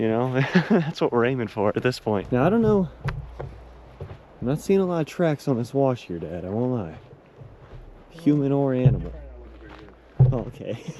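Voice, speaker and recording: A man of medium pitch talks at a moderate pace with very wide pitch swings. Long, frequent pauses break it up, and background noise is noticeable. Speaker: YouTuber. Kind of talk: vlog narration. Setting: outdoors. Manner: loud.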